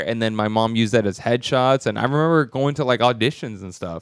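With an American accent and a normal speaking voice, a man talks at medium pitch and a fairly quick pace in a very clean recording with a silent background. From Texas. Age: 30s. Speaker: stand-up comedian. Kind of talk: casual chat.

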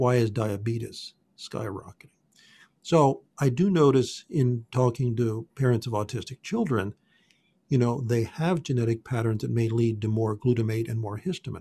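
Against a quiet background, a man's somewhat breathy, medium-pitched voice moves at a moderate pace with ordinary pitch variation. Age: 60s. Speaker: functional genomics health practitioner. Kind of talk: interview.

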